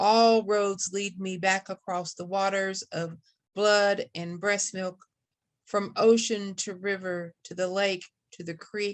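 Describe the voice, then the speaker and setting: A woman with an Appalachian accent, medium in pitch, flat and monotone, at a very slow pace with big swings in loudness. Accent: Appalachian Kentucky. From Kentucky Appalachia. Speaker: poet. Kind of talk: poetry reading. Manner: hesitant.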